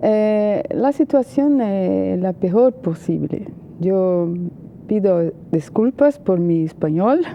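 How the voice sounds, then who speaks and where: Amid noticeable background noise, a woman with a Portuguese accent speaks very slowly at a medium pitch, her pitch swinging very widely. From Brazil. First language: Portuguese (speaking Spanish). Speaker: journalist and political analyst. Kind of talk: TV interview. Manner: hesitant, many fillers.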